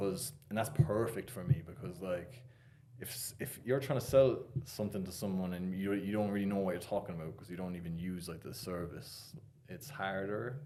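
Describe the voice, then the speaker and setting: A man's fairly low voice in an Irish accent, dark and mellow in tone, with lively intonation, big swings in loudness, a moderate pace and audible room echo. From Ireland. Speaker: financial coach. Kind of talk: podcast interview. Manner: casual, filler-heavy.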